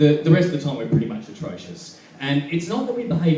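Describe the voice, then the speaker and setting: Speaking fairly briskly, a man is heard amid noticeable background noise and an audible room echo. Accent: Australian. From Perth, Western Australia. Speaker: stand-up comedian. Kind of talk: stand-up. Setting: stage with audience.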